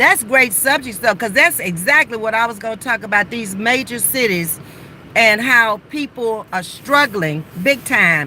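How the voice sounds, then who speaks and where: Against noticeable background noise, a woman with a fairly high pitch talks at a fairly slow pace in an animated tone with very wide pitch swings. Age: 60s. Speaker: livestreamer. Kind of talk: casual chat. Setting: sitting in car by the roadside.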